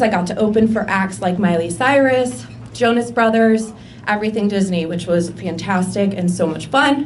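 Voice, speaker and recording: A woman's medium-pitched voice at a moderate pace, lively in intonation, with audible room echo and noticeable background noise. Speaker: accountant. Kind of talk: personal presentation. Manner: loud.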